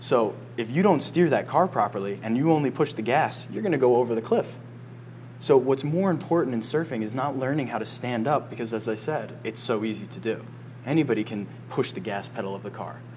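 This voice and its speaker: A man talks at a fairly quick pace in an animated tone, his medium pitch showing ordinary variation. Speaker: surf coach and podcast host. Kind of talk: casual chat. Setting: cafe by a fire.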